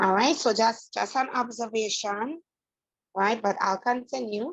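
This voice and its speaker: In a quiet background, a woman speaks at a fairly slow pace. Her pitch is fairly high, with ordinary variation. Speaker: math teacher. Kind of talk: online class lecture. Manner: soft-spoken.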